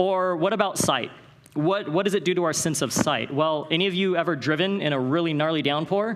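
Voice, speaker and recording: Speaking at a fairly quick pace with a West Coast US accent, a man talks in a high pitch. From Northern California. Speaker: conference speaker. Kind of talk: motivational talk. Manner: fast; animated.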